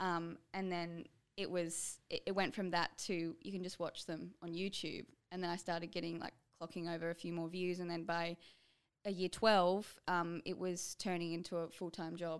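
An Australian accent comes through as a woman speaks at a moderate pace and fairly low pitch in a monotone, flat intonation, on a very clean recording with a silent background. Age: 20s. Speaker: YouTuber. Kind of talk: casual chat. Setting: studio.

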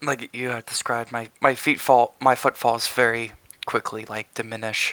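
A man's medium-pitched voice with a bright, sharp tone and a dry, close sound with no echo. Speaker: tabletop game player. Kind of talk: tabletop roleplaying game session.

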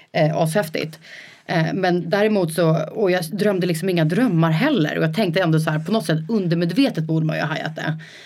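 A woman speaks at a fairly low pitch with ordinary pitch variation, and audible room echo surrounds her voice. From rural Sweden, Rö. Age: 30s. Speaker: entrepreneur. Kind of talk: casual interview. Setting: studio, coworking space.

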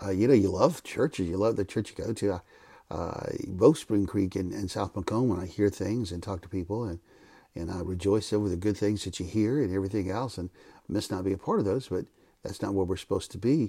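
Over a very clean recording with a silent background, a man with a fairly low, dark, mellow and somewhat breathy voice talks at a fairly quick pace with ordinary pitch variation. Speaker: Bible teacher and former pastor. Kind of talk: Bible teaching podcast.

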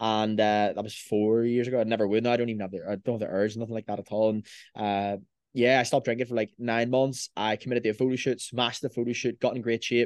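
In a Belfast accent, the speaker goes at a very fast pace with monotone, flat intonation, recorded with a dry, close sound with no echo and a quiet background. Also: man, medium pitch for a man. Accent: Belfast Northern Irish. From Northern Ireland, Belfast. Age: 20s. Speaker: online fitness coach. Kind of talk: casual chat.

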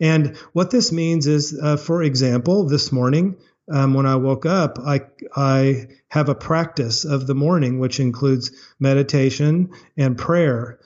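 A man with an American accent and an unremarkable speaking voice talks at a fairly slow pace, with a fairly high pitch, ordinary pitch variation and very even loudness. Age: 50s. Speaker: chocolate maker and former lawyer. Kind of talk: interview.

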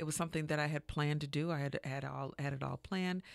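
A woman with a very deep, low pitch speaks in a flat monotone, recorded very cleanly against a silent background. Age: 50s. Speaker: massage therapist and wellness business owner. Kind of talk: interview.

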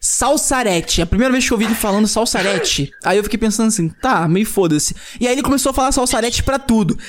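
A man talks at a fairly quick pace with lively intonation. Noticeable background noise sits behind him. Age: 20s. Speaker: podcast host. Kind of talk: casual chat. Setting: studio.

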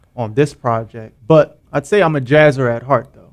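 A man is speaking. He has an ordinary speaking voice. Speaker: band member and producer/rapper. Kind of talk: casual interview chat. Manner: relaxed, slangy.

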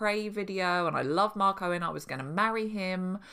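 A woman speaks with a British accent at a fairly low pitch, her tone bright and sharp. The recording is very clean with a silent background. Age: 30s. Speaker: podcast host and mothers' coach. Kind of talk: solo podcast monologue. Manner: conversational.

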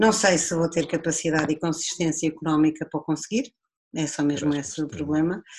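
Very deep and low in pitch, a woman talks at a very fast pace with fairly even intonation. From Portugal, Viseu district (Dão). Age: 40s. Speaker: winemaker. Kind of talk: casual chat.

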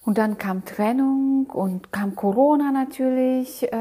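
In a very clean recording with a silent background, a woman speaks with a non-native accent. Her tone is dark and mellow. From outside Germany. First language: not German (speaking German). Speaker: motivational podcast host. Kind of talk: motivational monologue. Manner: halting, many fillers.

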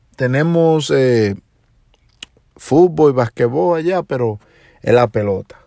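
With a Dominican accent, a man speaks very slowly in a dark, mellow tone at medium pitch, his intonation lively and his pauses long and frequent. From Dominican Republic, Puerto Plata. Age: 40s. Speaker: podcast host and DJ. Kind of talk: personal monologue. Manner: hesitant with filler sounds.

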